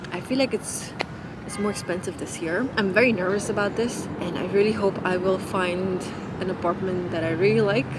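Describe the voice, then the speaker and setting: The room echo is audible, and background noise is noticeable. The intonation stays fairly even. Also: woman, medium pitch for a woman, moderate pace. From Nepal (Kathmandu). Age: 30s. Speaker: lifestyle vlogger. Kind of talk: casual chat.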